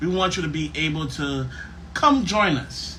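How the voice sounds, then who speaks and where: Noticeable background noise and audible room echo around a man's fairly high voice with ordinary pitch variation. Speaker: podcast host. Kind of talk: casual chat. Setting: live stream. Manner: loud.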